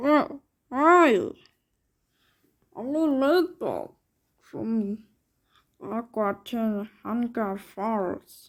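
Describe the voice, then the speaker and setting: In a very clean recording with a silent background, a female-sounding cartoonish character voice at a fairly high pitch drags along at a very slow pace with long, frequent pauses. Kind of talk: cartoon voice impression. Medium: solo performance. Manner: rambling, disjointed.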